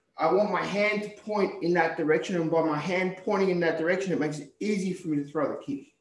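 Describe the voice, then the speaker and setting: Audible room echo surrounds a high-pitched man speaking with ordinary pitch variation. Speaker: karate instructor. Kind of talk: tutorial. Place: gym. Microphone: video call.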